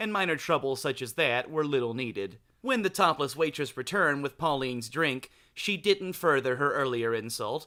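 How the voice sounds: Lively intonation in a natural reading voice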